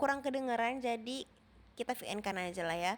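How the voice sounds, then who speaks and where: She is a woman with a high-pitched voice. Her pace is very fast. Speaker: vlogger. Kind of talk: vlog voiceover. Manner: casual.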